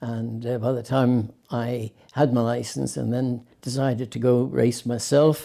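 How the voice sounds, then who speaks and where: A man with an Irish accent speaks at a fairly slow pace and a medium pitch, his dark, mellow tone paired with monotone, flat intonation. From Ireland, Limerick. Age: 70s. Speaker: retired racing driver. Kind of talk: interview. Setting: at home. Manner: halting.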